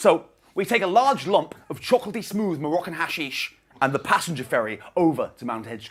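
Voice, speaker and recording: Using very wide pitch swings, a man with a fairly high pitch speaks with vocal fry. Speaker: stand-up comedian. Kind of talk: stand-up. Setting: stage with audience. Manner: fast.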